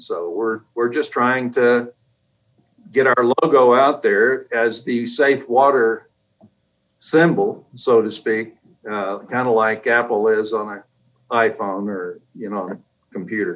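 Speaking at a very slow pace with long, frequent pauses, a man with an American accent shows big swings in loudness and ordinary pitch variation. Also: medium pitch for a man. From US, military family; high school in East Texas. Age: 70s. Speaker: engineer and company founder. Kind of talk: interview.

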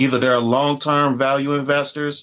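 A man talks at a moderate pace in a fairly high pitch. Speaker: podcast host. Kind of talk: casual interview chat.

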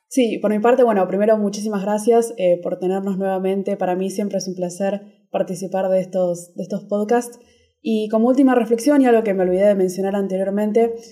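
A woman speaks at medium pitch with ordinary pitch variation. Her tone is dark and mellow. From Argentina. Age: 20s. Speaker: security researcher and computer science student. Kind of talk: casual interview.

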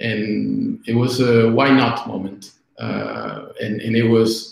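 The speaker has a Spanish accent. Vocal fry runs through the voice. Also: man. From Argentina. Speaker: product executive. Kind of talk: interview. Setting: video call. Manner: halting.

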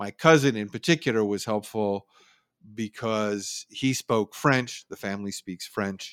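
In a very clean recording with a silent background and a dry, close sound with no echo, a man with a Californian accent speaks fairly slowly at a fairly low pitch, with ordinary pitch variation and big swings in loudness. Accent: Californian American. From San Francisco Bay Area, California. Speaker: news copy editor and writer. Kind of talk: interview.

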